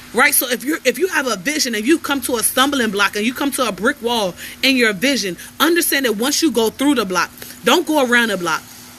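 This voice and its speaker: Over noticeable background noise, a woman talks very fast in a high, animated voice with lively intonation. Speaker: life coach. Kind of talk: motivational livestream talk. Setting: outdoors on porch, livestream.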